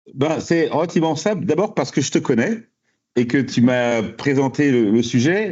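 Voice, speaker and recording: The man's voice is fairly high. He speaks at a fairly slow pace. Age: 60s. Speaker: high school principal. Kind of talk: podcast interview. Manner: hesitant, repeats words.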